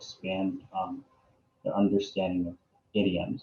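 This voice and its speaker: His tone is dark and mellow. The man sounds somewhat breathy. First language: Arabic and English bilingual. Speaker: graduating art student. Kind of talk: interview. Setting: video call. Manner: many fillers, um and like.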